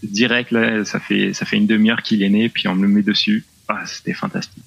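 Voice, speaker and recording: There is noticeable background noise behind this voice. A man speaks at a fairly quick pace. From southwest France. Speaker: new father. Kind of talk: remote interview. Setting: remote call.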